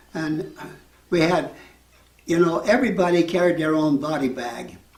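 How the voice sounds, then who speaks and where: Noticeable background noise sits behind this man. He speaks at a moderate pace with an American accent. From Utah, United States. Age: 80s+. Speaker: war veteran. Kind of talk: interview answer.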